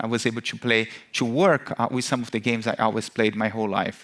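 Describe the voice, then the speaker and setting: This man talks at a fairly quick pace and a medium pitch. He speaks with a Brazilian accent. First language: Portuguese. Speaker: marketing executive, keynote speaker. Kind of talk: conference keynote. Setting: stage with audience. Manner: many fillers (uh, um).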